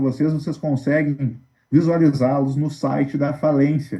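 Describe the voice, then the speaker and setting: A man speaks at a fairly slow pace with a fairly high pitch and a plain, everyday voice. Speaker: lawyer. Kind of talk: online Q&A briefing to creditors.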